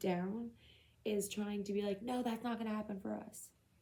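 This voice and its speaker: Somewhat breathy and dark, mellow in tone, a woman's medium-pitched voice stays monotone and flat throughout. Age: 30s. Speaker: tarot reader. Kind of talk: tarot reading to camera. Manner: casual, conversational.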